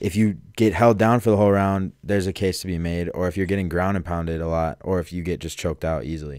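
A man with an American accent and a very deep, low pitch speaks at a very fast pace with hardly any pauses and ordinary pitch variation. The sound is dry with no echo over a quiet background. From Chicago suburbs. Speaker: podcast co-host. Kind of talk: casual chat. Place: studio. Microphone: studio mic.

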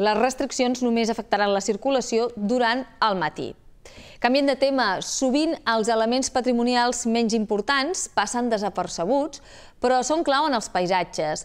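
High in pitch, a woman speaks at a fairly slow pace. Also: ordinary pitch variation, quiet background. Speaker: news anchor. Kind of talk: news reading. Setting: studio. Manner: formal. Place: studio. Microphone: lapel.

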